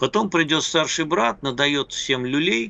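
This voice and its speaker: The man's voice has vocal fry and a medium pitch. His pitch swings very widely at a moderate pace. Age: 60s. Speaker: political analyst and journalist. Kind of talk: casual chat. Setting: Skype call. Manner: halting.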